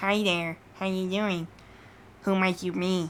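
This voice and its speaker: Over clear background noise, a female-sounding put-on character voice of medium pitch speaks fairly slowly in a monotone, flat delivery. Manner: nerdy.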